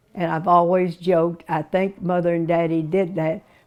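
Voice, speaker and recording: A woman with an Arkansas accent speaks at a moderate pace and a fairly low pitch. Her tone is dark and mellow, her intonation fairly even. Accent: Southern US (Arkansas). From US South, Little Rock, Arkansas. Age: 90s. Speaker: interviewee recalling her life. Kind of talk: oral history interview. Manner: halting.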